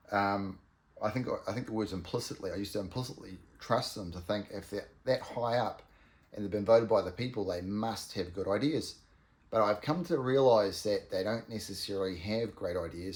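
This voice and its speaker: A man with a New Zealand accent speaks at a fairly quick pace in a fairly low, somewhat breathy voice. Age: 50s. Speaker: vlogger. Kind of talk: casual monologue. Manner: halting, many ums and ahs.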